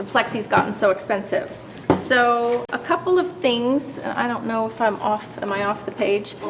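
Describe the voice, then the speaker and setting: Moderate speed and lively intonation, with noticeable noise in the background. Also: woman, fairly high pitch for a woman. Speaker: presenter, watercolor artist. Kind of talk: demonstration. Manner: loud.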